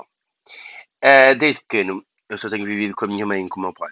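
A man talks at a moderate speed, and his pitch varies in an ordinary way. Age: 20s. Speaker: podcaster. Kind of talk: personal monologue. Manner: halting.

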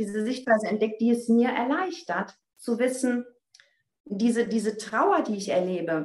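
A woman with a normal speaking voice talks at a moderate pace, her fairly high pitch carrying lively intonation. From Germany, North Rhine-Westphalia. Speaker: spiritual coach. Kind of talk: casual interview chat. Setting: online call.

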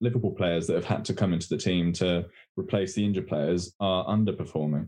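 A man's fairly quick delivery, its pitch variation ordinary. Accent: English. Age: 20s. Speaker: football podcast co-host. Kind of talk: casual chat.

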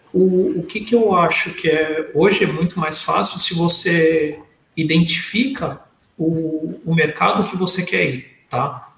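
A man with a high pitch and ordinary pitch variation speaks at a very slow pace, with audible room echo around him. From Brazil. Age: 40s. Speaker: panelist. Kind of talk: casual chat.

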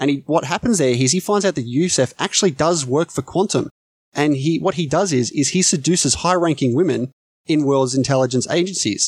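A man speaks at a fairly quick pace with an Australian accent, his pitch fairly high with ordinary variation and his loudness very even. The recording is very clean, with a silent background and a dry, close sound with no echo. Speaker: podcast guest, film podcaster. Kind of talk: casual chat.

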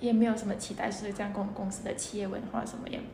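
In an Indonesian accent, a woman talks with fairly even intonation amid audible room echo and noticeable background noise. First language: Indonesian (speaking Chinese). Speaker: intern. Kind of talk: casual interview.

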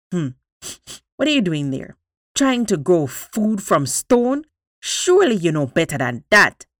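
A gruff, put-on character voice at a middle pitch swings very widely in pitch at a fairly slow pace, on a very clean recording with a silent background. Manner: scolding, incredulous.

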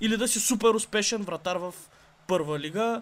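A man at a moderate pace with lively intonation. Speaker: podcast co-host. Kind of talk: casual chat.

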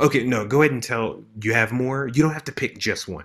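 In an American accent, a man talks at a fairly quick pace with ordinary pitch variation and an unremarkable speaking voice. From Maryland. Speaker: podcast host. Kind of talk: casual chat. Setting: video call.

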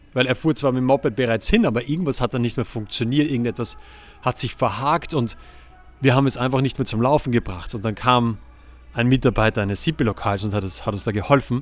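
Over background music, a man with a medium-pitched voice talks at a fairly quick pace in an animated tone with ordinary pitch variation. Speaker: relationship podcast host. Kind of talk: solo podcast monologue. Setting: outdoors on a terrace, recording on laptop. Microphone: laptop and external microphone.

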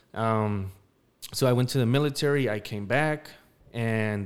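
A man with an American accent talks at a medium pitch with fairly even intonation. His is an unremarkable speaking voice. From Denver, Colorado. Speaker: podcast co-host, military veteran. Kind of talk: casual chat.

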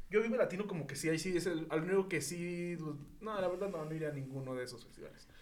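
A man at a very fast pace and high pitch, ordinary pitch variation, big swings in loudness, audible room echo and noticeable background noise. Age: 20s. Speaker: podcast host. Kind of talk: casual chat.

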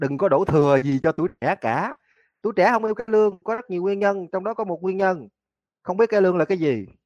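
A man with a Southern Vietnamese accent, high pitch, lively intonation and a very fast pace, in a dry, close sound with no echo. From Mekong Delta, Vietnam (Tân Châu, An Giang). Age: 40s. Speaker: university lecturer and cải lương researcher. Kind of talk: interview.

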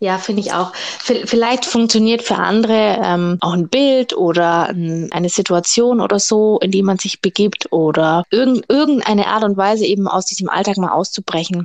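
An unremarkable speaking voice from a woman, medium in pitch, at a moderate pace with hardly any pauses. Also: ordinary pitch variation. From Germany, Augsburg (Bavarian Swabia). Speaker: burlesque dancer and boutique owner. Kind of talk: casual interview chat.

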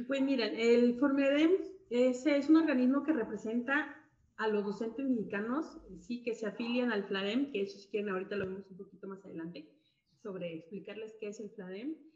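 Lively intonation marks this woman's ordinary speaking voice. She is fairly high-pitched and speaks at a moderate pace. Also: big swings in loudness. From Mexico, Guadalajara, Jalisco. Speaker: music educator, association president. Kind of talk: casual interview. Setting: live video stream.

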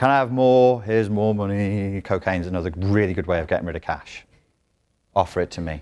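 The recording is very clean, with a silent background. A man with a British accent speaks in a very deep, low voice. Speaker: self-help coach. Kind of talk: workshop lecture. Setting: stage with audience. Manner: animated.

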